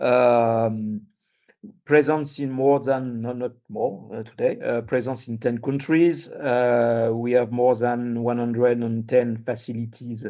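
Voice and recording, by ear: At a slow pace, a man talks with medium pitch, fairly even intonation and a dark, mellow tone.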